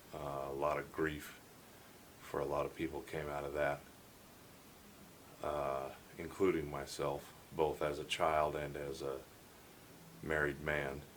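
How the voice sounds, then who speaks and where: In audible room echo, a man with a very deep, low pitch and vocal fry speaks at a fairly slow pace with monotone, flat intonation and long, frequent pauses. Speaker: podcaster, former cult member. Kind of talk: monologue podcast. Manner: casual, halting.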